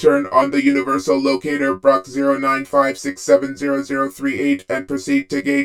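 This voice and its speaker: Using a put-on character voice, a man talks at a moderate pace with hardly any pauses, lively intonation and a medium pitch. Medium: read story. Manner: procedural, impersonal.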